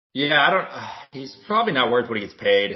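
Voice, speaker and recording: This man's voice shows ordinary pitch variation. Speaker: podcast co-host. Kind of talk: casual chat. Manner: loud at times.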